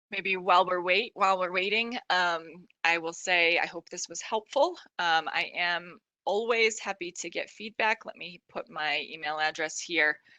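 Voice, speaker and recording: A woman's bright, sharp tone at a fairly low pitch, with big swings in loudness and a quiet background. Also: ordinary pitch variation, moderate pace. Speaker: product specialist presenting a webinar; product trainer presenting a webinar. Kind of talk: webinar presentation. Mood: friendly, wrapping up. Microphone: video call.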